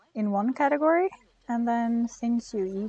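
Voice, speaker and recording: A woman speaks very slowly with a fairly high pitch and a dark, mellow tone. Her intonation is lively, and the sound is dry and close with no echo. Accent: non-native. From Norway. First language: Norwegian. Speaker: gaming streamer. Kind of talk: live game stream commentary. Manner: casual, hesitant with fillers.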